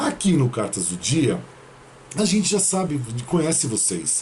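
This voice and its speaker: With very wide swings in pitch, a man speaks in a fairly high voice. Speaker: tarot reader and numerologist. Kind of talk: tarot reading video monologue. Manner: serious.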